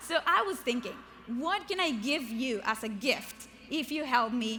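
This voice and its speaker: Her pitch is high and her intonation lively as this woman speaks. Noticeable background noise is present. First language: not English. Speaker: keynote speaker and author. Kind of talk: motivational keynote speech. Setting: stage with large audience. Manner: animated.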